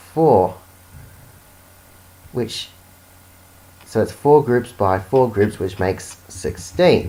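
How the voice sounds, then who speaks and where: A man with a dark, mellow tone and medium pitch speaks at a very slow pace, with lively intonation and long, frequent pauses. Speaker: amateur maths tutor. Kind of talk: unscripted educational explanation. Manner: hesitant, with stutters and pauses.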